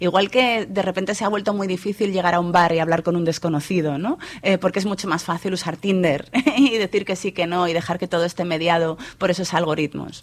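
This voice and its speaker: A woman speaks at a fairly quick pace in a fairly low voice, her intonation fairly even. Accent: Madrid. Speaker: journalist and author. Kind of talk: interview.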